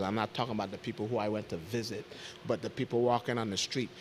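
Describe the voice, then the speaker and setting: A man speaks with a Saint Croix accent. His voice sits at a medium pitch. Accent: Crucian local twang. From US Virgin Islands, St. Croix. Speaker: territorial health official. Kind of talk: panel discussion.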